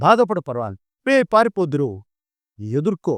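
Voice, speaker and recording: Against a quiet background, a man speaks in a high pitch with very wide pitch swings and a dry, close sound with no echo. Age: old. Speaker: local elder storyteller. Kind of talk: interview answer.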